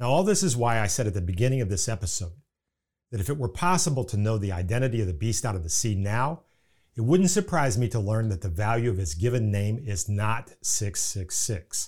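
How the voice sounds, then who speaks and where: The recording is very clean, with a silent background. A man with an Indiana accent sounds somewhat breathy, talking at a fairly quick pace with lively intonation. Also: medium pitch for a man. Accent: Indiana Midwestern American. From US Midwest, Indiana. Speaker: podcast host, Bible teacher. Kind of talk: scripted religious teaching podcast narration. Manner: formal, measured.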